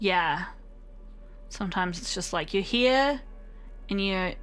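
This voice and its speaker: Music plays in the background as a woman talks with a New Zealand accent. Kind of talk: casual let's play commentary.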